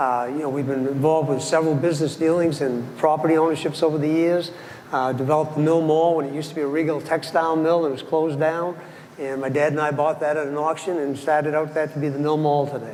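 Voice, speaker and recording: Delivered at a very fast pace, the speech is monotone and flat, with noticeable background noise and audible room echo. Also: man, fairly high pitch for a man. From Maine (Ellsworth). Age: 70s. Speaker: city council candidate. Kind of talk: candidate forum speech. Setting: stage with audience.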